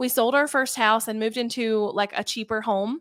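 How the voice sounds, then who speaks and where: In a Southern US accent, a woman speaks with a fairly high pitch. Her pace is moderate, with ordinary pitch variation. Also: very clean recording, silent background. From US South. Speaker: online entrepreneur and youtuber. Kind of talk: interview. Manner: casual, chatty.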